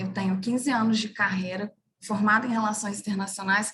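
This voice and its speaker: This woman's fairly high voice keeps a fairly even intonation. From Brazil, interior of Minas Gerais. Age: 30s. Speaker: international relations professional, career website co-founder. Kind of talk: webinar career talk.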